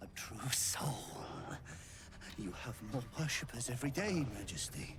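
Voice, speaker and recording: A sinister, put-on character voice whispers over loud background noise. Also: man, moderate pace. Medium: video game. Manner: sinister, obsequious.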